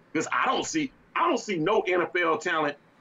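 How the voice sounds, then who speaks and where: Noticeable background noise runs through the clip. A man does the talking. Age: 40s. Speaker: sports talk co-host. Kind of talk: casual sports talk. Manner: animated.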